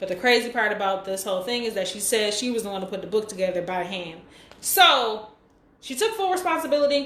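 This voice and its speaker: Noticeable background noise plus audible room echo. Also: woman. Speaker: livestream host. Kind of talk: casual chat. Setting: live stream on Instagram. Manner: fast.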